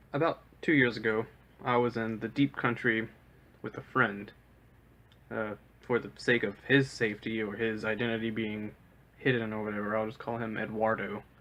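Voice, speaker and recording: In a slight Southern US accent, a man speaks at medium pitch and moderate pace with fairly even intonation and long, frequent pauses. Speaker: storyteller. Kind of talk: personal storytelling. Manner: casual, with frequent filler uhs.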